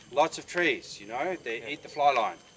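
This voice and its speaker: A man with an Australian accent talks at a moderate pace in a fairly high voice. Noticeable background noise runs behind him. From Tasmania, Australia. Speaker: fly casting instructor. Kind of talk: outdoor teaching demonstration.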